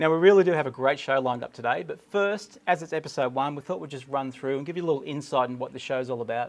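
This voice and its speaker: A man with an Australian accent talks very fast at a fairly high pitch, with ordinary pitch variation and hardly any pauses. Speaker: cruise show co-host and photographer. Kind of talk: casual chat.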